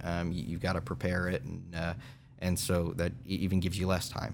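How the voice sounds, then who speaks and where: A man with an American accent speaks at a moderate pace with a very deep, low pitch. His intonation is fairly even, and audible room echo surrounds his voice. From Kansas, Newton. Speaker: state legislator. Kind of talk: interview.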